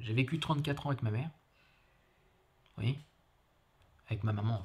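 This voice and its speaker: Fairly quick, somewhat breathy speech from a man, with pitch that varies in an ordinary way. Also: medium pitch for a man. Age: 40s. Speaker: foyer resident. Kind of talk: testimony. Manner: halting.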